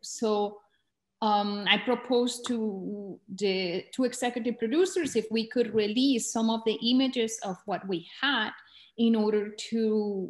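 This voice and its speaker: Against a quiet background, a woman with a Spanish accent speaks somewhat breathily at a fairly high pitch, a fairly slow pace and ordinary pitch variation. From Colombia, border town near Venezuela. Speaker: documentary filmmaker. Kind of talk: talk to filmmakers. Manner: halting.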